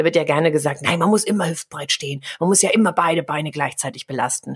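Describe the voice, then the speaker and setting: Her pace is fairly quick. This woman's intonation is lively. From Germany. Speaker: communication coach. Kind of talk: interview.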